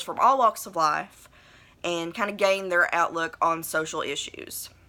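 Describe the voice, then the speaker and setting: In a strong Appalachian accent, a woman speaks fairly slowly at a fairly low pitch, with a bright, sharp tone and ordinary pitch variation. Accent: thick Appalachian. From southern West Virginia. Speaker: vlogger. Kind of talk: personal video blog monologue. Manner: hesitant, many fillers; trying to enunciate.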